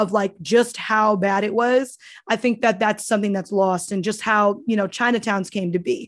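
Against a quiet background, a woman with an ordinary speaking voice talks at a moderate pace, her fairly high pitch held in fairly even intonation. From US, Cambodia town neighborhood. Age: 20s. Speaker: activist. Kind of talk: interview.

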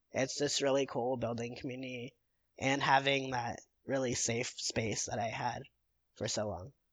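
A man in an ordinary speaking voice, medium in pitch, at a moderate pace. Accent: American. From Illinois, Chicago suburbs. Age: 20s. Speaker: mental health advocacy volunteer. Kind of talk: casual interview.

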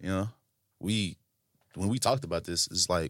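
Very clean, silent-background audio of a man with a very deep, low pitch and a Southern US accent, fairly quick in pace, with ordinary pitch variation and a dry, close sound with no echo. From Tennessee (Franklin). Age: 20s. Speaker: podcast co-host. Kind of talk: casual chat. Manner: animated.

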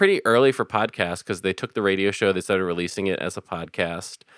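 In a very deep, low voice, a man with an American accent speaks with ordinary pitch variation, the sound dry and close with no echo and the recording very clean with a silent background. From Philadelphia. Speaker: podcast host and improv comedian. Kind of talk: casual chat.

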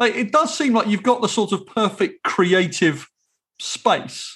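Speaking at a fairly slow pace, a man with an English accent has a high pitch. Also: quiet background. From England. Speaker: podcast host. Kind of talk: casual chat.

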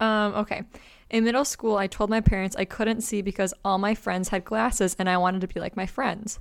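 Fairly quick and with fairly even intonation, a woman at medium pitch has an unremarkable speaking voice on a very clean recording with a silent background. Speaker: podcast host. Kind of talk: casual chat.

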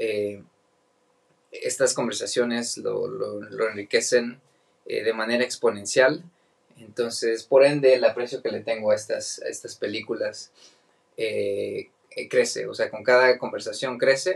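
A man with a Mexican accent speaks at a fairly slow pace. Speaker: podcast host. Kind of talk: casual chat.

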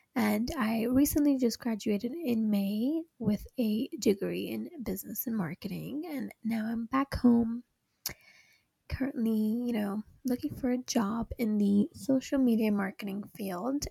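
The voice has a dark, mellow tone and is somewhat breathy, with ordinary pitch variation, a fairly slow pace and a dry, close sound with no echo. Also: woman, fairly high pitch for a woman. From Hong Kong. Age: 20s. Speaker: podcast co-host, recent graduate. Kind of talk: casual chat.

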